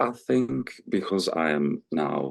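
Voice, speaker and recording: The speaker is a man. His voice sounds dry and close, with no echo. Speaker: podcast guest. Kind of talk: interview answer.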